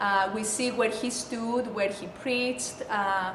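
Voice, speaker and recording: A woman with a Greek accent, fairly high in pitch, slow-paced and monotone with flat intonation, in audible room echo and noticeable background noise. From Greece. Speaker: school administrator. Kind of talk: testimony.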